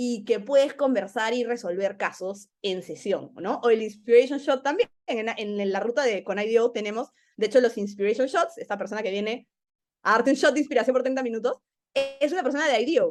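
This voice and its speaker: A woman's fairly high voice with ordinary pitch variation, at a fairly quick pace. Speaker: learning program manager. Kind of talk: casual interview chat. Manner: animated.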